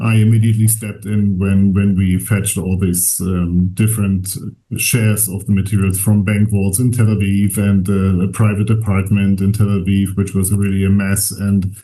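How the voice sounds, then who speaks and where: A man speaks in a fairly low pitch with a dark, mellow, somewhat breathy tone, monotone and flat, at a moderate pace with hardly any pauses. His loudness stays very even, and room echo is audible. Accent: German. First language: German. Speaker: archivist. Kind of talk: lecture. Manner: halting, many fillers.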